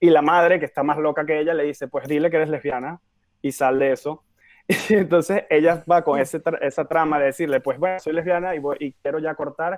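At a fairly quick pace, a plain, everyday voice speaks with fairly even intonation. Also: man, fairly high pitch for a man. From Venezuela, Caracas. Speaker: film director. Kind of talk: interview.

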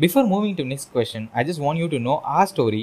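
A man has a normal speaking voice with lively intonation. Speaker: podcast host. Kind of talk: casual interview conversation. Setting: video call. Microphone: voice distorted, re-recorded afterwards.

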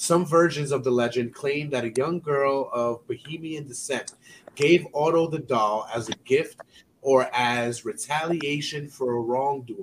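The delivery is fairly slow, with ordinary pitch variation. It is an unremarkable speaking voice. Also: man, fairly high pitch for a man. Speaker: podcast host. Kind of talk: reading aloud.

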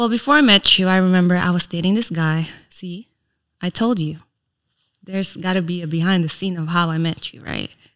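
Loudness swings widely as someone talks at a fairly quick pace with a Filipino accent and ordinary pitch variation. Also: woman, fairly low pitch for a woman. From Philippines, then Reno, US. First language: Tagalog. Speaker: influencer and entrepreneur. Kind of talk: casual interview chat. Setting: studio podcast.

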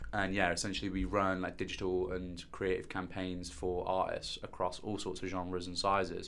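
The voice has a West Midlands accent and a bright, sharp tone. It is a very clean recording with a silent background. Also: man. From West Midlands, England (Stourbridge, near Birmingham). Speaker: digital marketing executive and DJ. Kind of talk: casual interview.

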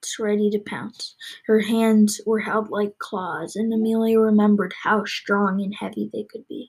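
A natural voice, reading aloud

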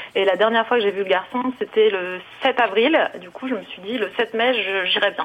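Over noticeable background noise, a woman talks at a moderate pace with big swings in loudness. Her voice is fairly high, with ordinary pitch variation. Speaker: caller. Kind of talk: testimony. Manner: cheerful.

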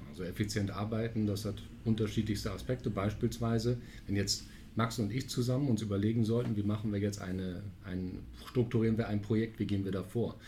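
Fairly low-pitched with vocal fry, a man speaks at a fairly quick pace and fairly even intonation, with audible room echo around him. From Münster, western Germany. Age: 40s. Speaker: strategy consulting partner. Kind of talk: podcast interview. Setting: studio, sitting across from host.

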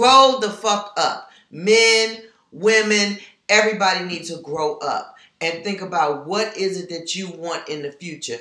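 With an animated tone and big swings in loudness, a woman speaks fairly slowly at a medium pitch with ordinary pitch variation, and audible room echo. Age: 50s. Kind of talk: casual chat.

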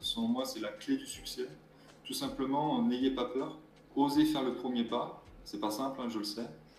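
At a fairly slow pace, a man speaks amid noticeable background noise and audible room echo. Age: 20s. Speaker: mobile gendarme and adventurer. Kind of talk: interview.

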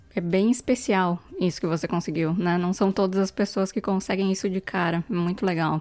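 With a plain, everyday voice, a woman speaks at a medium pitch and moderate pace, with fairly even intonation, very even loudness and hardly any pauses, in a very clean recording with a silent background. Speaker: podcast co-host, business analyst. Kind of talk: casual interview.

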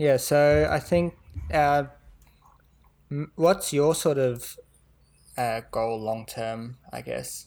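A man speaks at a very slow pace with long, frequent pauses. His pitch varies in an ordinary way. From South Africa. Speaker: finance podcast host. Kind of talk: casual chat.

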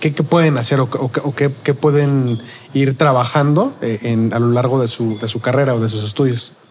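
An unremarkable speaking voice belongs to a man who talks at a fairly slow pace, with a medium pitch and fairly even intonation. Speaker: podcast host. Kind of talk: casual interview. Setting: restaurant.

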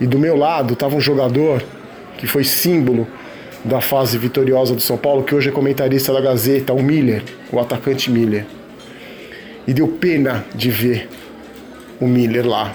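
With music in the background and audible room echo, a man talks at a moderate pace and medium pitch, his intonation fairly even and his loudness very even, with long, frequent pauses. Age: 40s. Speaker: football commentator. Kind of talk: opinion monologue.

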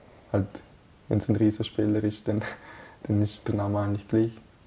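This man's voice is somewhat breathy, with a dark, mellow tone and flat, monotone intonation. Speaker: national team footballer. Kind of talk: interview. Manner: hesitant, many fillers.

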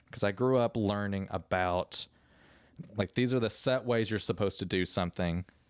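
A man with a plain, everyday voice and a fairly low pitch talks at a moderate pace, his intonation fairly even and his loudness very even. The sound is dry and close with no echo, in a very clean recording with a silent background. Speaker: podcast co-host. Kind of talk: casual chat. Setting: studio.

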